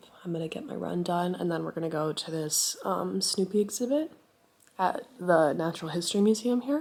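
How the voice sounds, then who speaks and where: Against noticeable background noise, a woman with an American accent speaks at a fairly low pitch with lively intonation. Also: fairly quick pace. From Minnesota. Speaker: vlogger. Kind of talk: casual vlog. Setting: at home in the kitchen. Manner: casual, filler-heavy.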